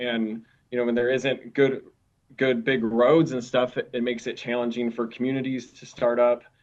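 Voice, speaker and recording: His voice sits at a medium pitch with monotone, flat intonation. The man keeps a moderate pace. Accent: Minnesota. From Minnesota, US Midwest. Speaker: camp director at a mission. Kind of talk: podcast interview.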